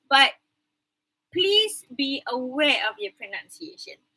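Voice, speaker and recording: Bright and sharp in tone, a woman with a Malaysian accent speaks at a high pitch with very wide pitch swings. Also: dry, close sound with no echo. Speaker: university English lecturer. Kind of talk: online class lecture. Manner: code-switching English and Malay.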